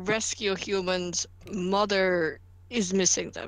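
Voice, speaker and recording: A female-sounding voice, medium in pitch, growls through a put-on character voice. The delivery is deadpan and fairly slow. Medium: actual play. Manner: deadpan, broken sentences.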